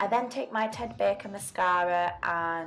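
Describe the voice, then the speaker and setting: A woman speaks with ordinary pitch variation over music in the background. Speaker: beauty vlogger. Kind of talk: makeup tutorial talk to camera. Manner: casual, chatty.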